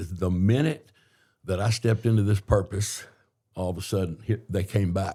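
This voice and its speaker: On a very clean recording with a silent background, a man's somewhat breathy voice sits fairly low in pitch, with a dark, mellow tone and a moderate pace. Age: 60s. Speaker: entrepreneur and mayoral candidate. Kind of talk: podcast interview. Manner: halting, self-correcting.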